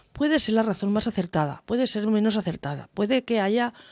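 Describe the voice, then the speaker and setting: A woman talks very fast with ordinary pitch variation. The background is quiet. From Valencia region, Spain. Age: 50s. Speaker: mayor. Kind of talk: radio interview. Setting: radio studio. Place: studio. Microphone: studio mic.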